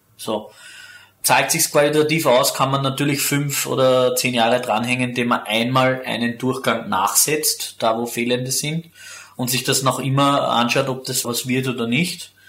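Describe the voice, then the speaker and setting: A man's speech comes at a moderate speed, his intonation fairly even, with noticeable noise behind him. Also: medium pitch for a man. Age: young. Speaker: winemaker. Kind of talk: interview.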